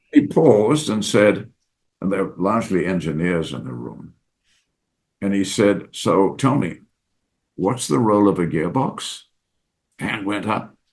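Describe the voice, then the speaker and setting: With vocal fry and a fairly low pitch, a man speaks at a fairly slow pace, his pitch swinging very widely and his loudness shifting a lot, with long, frequent pauses. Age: 80s+. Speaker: former CEO and business school professor. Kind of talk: interview answer.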